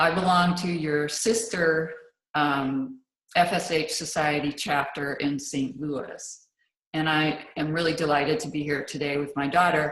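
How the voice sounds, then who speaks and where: Speaking at a moderate pace, a woman uses a very deep, low pitch with fairly even intonation. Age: 60s. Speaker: patient panelist. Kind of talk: panel talk.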